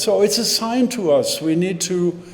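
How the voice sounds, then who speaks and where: There is audible room echo and noticeable background noise as a man speaks at a fairly slow pace. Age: 80s+. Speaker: service leader leading joys and concerns. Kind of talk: church service announcements. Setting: hybrid service, in person and on Zoom. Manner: halting.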